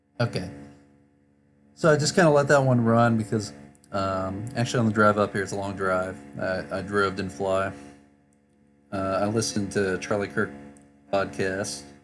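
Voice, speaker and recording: Over music in the background, a man with a fairly low voice talks at a moderate pace with lively intonation and long, frequent pauses. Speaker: political commentary YouTuber. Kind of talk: casual reaction commentary to camera. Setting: travel setup, poor microphone.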